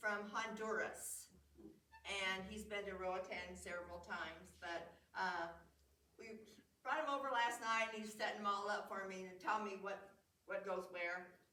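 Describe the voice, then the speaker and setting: Audible room echo follows a woman's fairly high-pitched voice as she talks at a fairly slow pace. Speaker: museum program presenter showing nativity sets. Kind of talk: show and tell talk. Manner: loud; halting.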